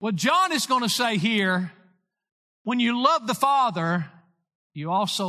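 Raising and projecting his voice, a man speaks at a fairly slow pace with a bright, sharp tone, very wide pitch swings and long, frequent pauses, over a quiet background. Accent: Tennessee. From US South, Lawrence County, Tennessee. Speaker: pastor. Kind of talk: sermon.

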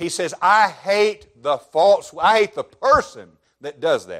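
A man talks very slowly with a Southern US accent. His loudness swings widely. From Alabama, US South. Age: 30s. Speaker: pastor. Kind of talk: sermon.

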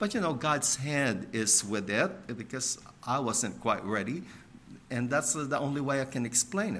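Audible room echo surrounds a man speaking with an American accent. He talks at a moderate pace with lively intonation. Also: medium pitch for a man. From Filipino American, US. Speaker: missionary. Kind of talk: sermon.

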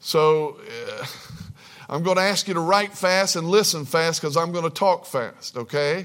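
This man has a high pitch with ordinary pitch variation. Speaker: preacher. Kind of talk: sermon. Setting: church. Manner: fills pauses with uh; deliberate, slower pace.

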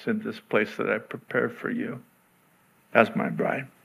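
A loud man is heard on a very clean recording with a silent background. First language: Arabic. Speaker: pastor. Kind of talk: sermon. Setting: church.

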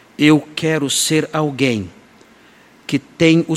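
Noticeable background noise accompanies speech whose pitch varies in an ordinary way. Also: man. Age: 60s. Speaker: pastor. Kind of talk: sermon.

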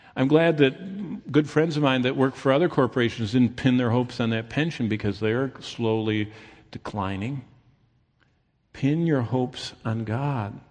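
Against a quiet background, a man at a medium pitch talks at a moderate pace with ordinary pitch variation. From Michigan, US Midwest. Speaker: pastor. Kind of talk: sermon.

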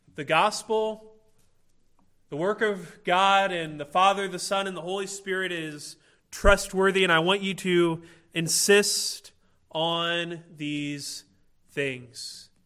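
With a Midwestern American accent, a man speaks in a high pitch and a bright, sharp tone with ordinary pitch variation, on a very clean recording with a silent background. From Illinois, US Midwest. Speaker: pastor. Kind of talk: sermon.

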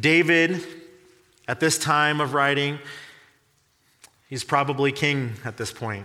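At a very slow pace, a man with a fairly high pitch talks with ordinary pitch variation and long, frequent pauses. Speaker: pastor. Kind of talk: sermon.

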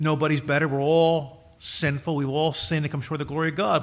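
Fairly high for a man, his ordinary speaking voice shows ordinary pitch variation. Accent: American. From United States. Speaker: pastor. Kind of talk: sermon. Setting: church.

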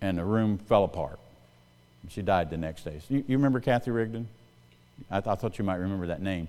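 The speaker has a dark, mellow tone and a Southern US accent. The pace is fairly quick, with ordinary pitch variation. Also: man, fairly low pitch for a man. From US South, South Carolina. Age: 60s. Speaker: pastor. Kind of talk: sermon. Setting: church. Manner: fast talker.

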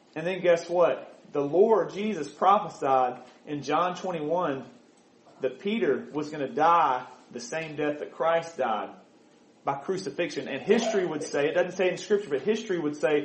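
A man with an American accent speaks at a moderate pace in a high pitch, with ordinary pitch variation and audible room echo. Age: 30s. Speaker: preacher. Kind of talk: sermon.

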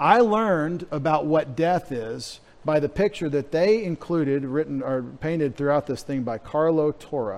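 A man with an American accent speaks at a moderate pace with hardly any pauses. He has an ordinary speaking voice, fairly high pitch and lively intonation. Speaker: pastor. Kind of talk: sermon.

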